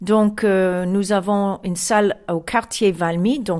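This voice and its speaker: Speaking very slowly with an American accent, a woman is heard on a very clean recording with a silent background. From US (Chicago). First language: English (speaking French). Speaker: music association president. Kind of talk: interview. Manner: halting.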